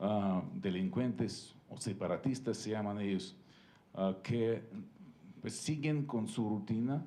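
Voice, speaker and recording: A man's dark, mellow voice at medium pitch, very slow, with ordinary pitch variation and audible room echo. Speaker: ambassador. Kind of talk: panel talk. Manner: halting, many fillers.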